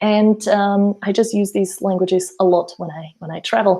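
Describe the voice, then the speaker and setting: A dark, mellow tone carries this speech, delivered at a moderate pace in a Slovak accent. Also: woman. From Slovakia. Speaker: language teacher and mentor. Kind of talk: webinar presentation. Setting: online webinar.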